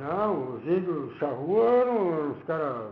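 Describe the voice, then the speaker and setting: A man's very slow speech with very wide pitch swings, set against noticeable background noise. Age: 80s+. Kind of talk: interview answer.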